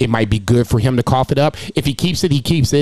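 Moderate pace and ordinary pitch variation in a man's plain, everyday voice. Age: 40s. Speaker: wrestling podcast host. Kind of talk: reading out standings; casual chat.

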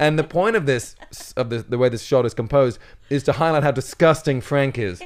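Speaking with an ordinary speaking voice, a man goes at a fairly quick pace with a fairly high pitch and ordinary pitch variation. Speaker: comedian. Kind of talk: casual chat. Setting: studio.

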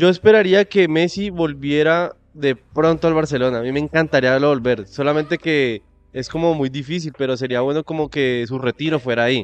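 An unremarkable speaking voice, this man's is fairly high in pitch with ordinary pitch variation, going at a moderate pace with hardly any pauses. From Colombia, Tuluá (Valle del Cauca). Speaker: podcast co-host. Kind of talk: casual chat.

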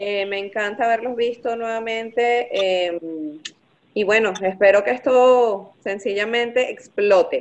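A woman speaks in a plain, everyday voice with a fairly high pitch. Her pace is fairly slow and her intonation fairly even. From Venezuela (Maracay). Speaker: accountant. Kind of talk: casual chat.

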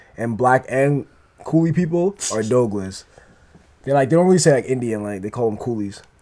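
A man's medium-pitched voice, dark and mellow in tone, with lively intonation at a fairly quick pace. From Trinidad. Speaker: podcast guest. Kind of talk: casual chat.

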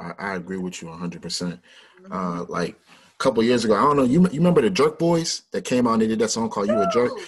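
Racing along at a very fast pace, a man of medium pitch speaks in a Mid-Atlantic American accent with very wide pitch swings. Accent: Mid-Atlantic urban American. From Washington, DC. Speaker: podcast host. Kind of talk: interview.

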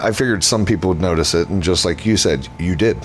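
A man's very deep, low voice at a fairly quick pace, with ordinary pitch variation over noticeable background noise. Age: 40s. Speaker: horror film distributor and director. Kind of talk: casual interview.

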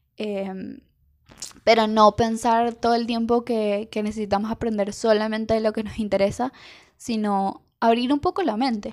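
In a Venezuelan accent, a woman speaks fairly slowly at a fairly high pitch with fairly even intonation, captured on a very clean recording with a silent background. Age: 20s. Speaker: illustrator. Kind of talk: monologue. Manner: halting.

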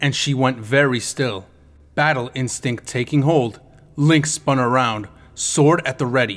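Unforced reading voice, intonation kept fairly even

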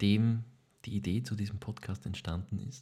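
A man speaks at a moderate pace in a medium pitch. His voice is somewhat breathy. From Lower Austria. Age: 20s. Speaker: actor, podcast co-host. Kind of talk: casual chat.

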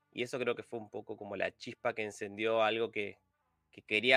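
This man speaks with a Rioplatense accent at a medium pitch. His intonation stays fairly even. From Argentina, Buenos Aires suburbs. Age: 30s. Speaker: software testing and automation specialist. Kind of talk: casual interview.

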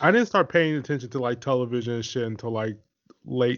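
A man speaks in a normal speaking voice at a medium pitch. His intonation stays fairly even. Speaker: podcast host. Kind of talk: casual chat.

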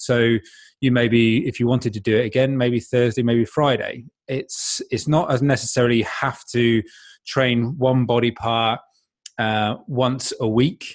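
On a very clean recording with a silent background, a man with a British accent speaks fairly slowly in a monotone, flat intonation. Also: medium pitch for a man. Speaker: fitness coach and podcaster. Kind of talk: casual interview answers.

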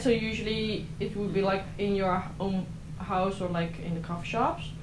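Noticeable background noise accompanies a woman speaking with a Dutch accent. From southern Netherlands. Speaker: exchange student. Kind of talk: casual chat.

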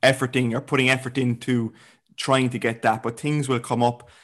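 Against a quiet background, a man speaks with an Irish accent at a moderate pace. His medium-pitched delivery is monotone and flat. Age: 20s. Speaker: fitness coach. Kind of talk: casual chat.

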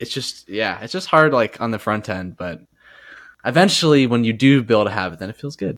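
At a fairly quick pace, a man with an ordinary speaking voice talks with lively intonation on a very clean recording with a silent background. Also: medium pitch for a man, big swings in loudness. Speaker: podcast co-host. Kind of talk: casual chat.

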